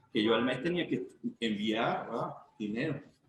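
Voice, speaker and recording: Somewhat breathy, a man talks at a medium pitch. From Venezuela, Trujillo state. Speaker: dome builder, migrant. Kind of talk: interview answer.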